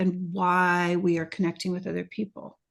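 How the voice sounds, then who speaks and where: A woman with a plain, everyday voice speaks in a fairly low pitch at a moderate pace against a quiet background. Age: 60s. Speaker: retreat facilitator and podcaster. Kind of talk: interview. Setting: video call.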